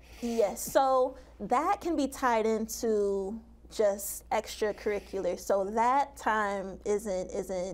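A woman talks in an American accent. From Portage, Michigan, US Midwest; Michigan. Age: young. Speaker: college basketball coach. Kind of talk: casual interview. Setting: TV studio. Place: studio. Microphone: lapel.

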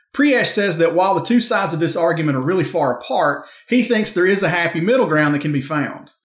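A man talks at a very fast pace and a high pitch, with lively intonation. Audible room echo comes through over a quiet background. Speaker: trucking news show host. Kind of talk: scripted news presentation. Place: home room.

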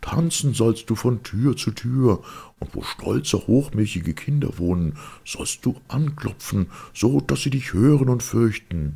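In a put-on character voice, the speaker moves at a fairly slow pace with lively intonation, a dark, mellow tone, vocal fry and a slightly husky edge. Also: man, medium pitch for a man.

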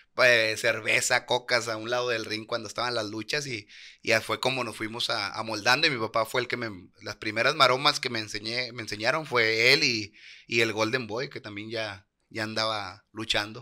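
A man with a northern Mexican accent talks at a moderate pace in a medium pitch. His intonation is fairly even, and the background is quiet. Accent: northern Mexican (norteño) Spanish. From Monterrey, Nuevo León, Mexico. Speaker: professional wrestler. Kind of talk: casual interview. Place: studio. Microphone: studio mic.

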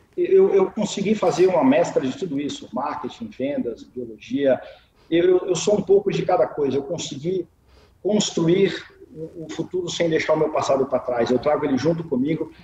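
A high-pitched man at a moderate pace, lively intonation, audible room echo and light background noise. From Minas Gerais, Brazil. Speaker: marketing executive and biologist. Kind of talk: interview answer. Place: home room. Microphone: video call.

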